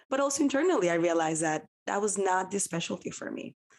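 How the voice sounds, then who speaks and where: Speaking in a Spanish accent, a woman talks at a fairly quick pace with lively intonation. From Dominican Republic. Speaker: physician. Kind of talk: interview.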